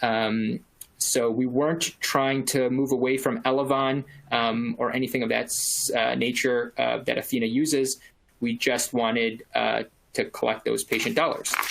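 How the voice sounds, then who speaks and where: A plain, everyday voice from a man at medium pitch, moderate in pace, with ordinary pitch variation and very even loudness. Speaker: practice manager at a clinic. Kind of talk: webinar presentation. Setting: webinar. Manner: many filler words.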